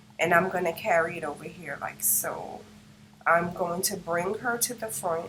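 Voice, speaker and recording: Noticeable background noise runs under speech whose pitch varies in an ordinary way. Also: woman, fairly low pitch for a woman, moderate pace. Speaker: craft tutorial creator. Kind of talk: tutorial. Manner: casual, step-by-step narration. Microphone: no microphone, built-in device mic.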